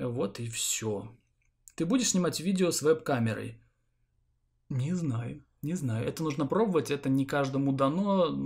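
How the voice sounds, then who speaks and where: In a very clean recording with a silent background, a man with a fairly high, somewhat breathy voice speaks fairly slowly with lively intonation and long, frequent pauses. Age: 30s. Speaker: gaming YouTuber. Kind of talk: Q&A vlog to viewers.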